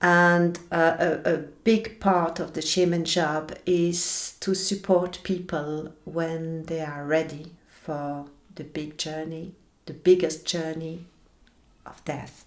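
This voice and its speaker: In a French accent, a woman speaks very slowly in a fairly low pitch with monotone, flat intonation. Her loudness swings widely, and the room echo is audible. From French-speaking Belgium. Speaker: shaman. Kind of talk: interview. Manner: halting.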